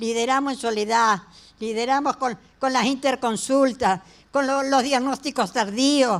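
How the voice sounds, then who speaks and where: A high-pitched woman at a fairly slow pace in a very clean recording with a silent background. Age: 80s+. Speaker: HIV activist and hospital volunteer. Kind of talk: impassioned speech at a public hearing. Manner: animated, emphatic.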